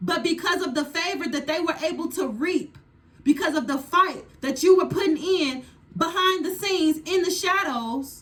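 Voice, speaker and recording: A woman shouts loudly in an extremely high pitch, her tone animated and her pitch varying in an ordinary way. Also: moderate pace. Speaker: tarot reader. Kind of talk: tarot reading. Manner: loud, yelling.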